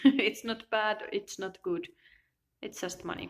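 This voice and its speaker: A woman with a Finnish accent and lively intonation on a very clean recording with a silent background. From Finland. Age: 20s. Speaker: self-help vlogger. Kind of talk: personal video monologue. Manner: halting.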